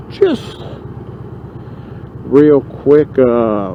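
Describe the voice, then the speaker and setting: A man's voice over noticeable background noise. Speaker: motorcycle vlogger. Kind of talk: casual ride vlog narration. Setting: riding a motorcycle outdoors. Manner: loud.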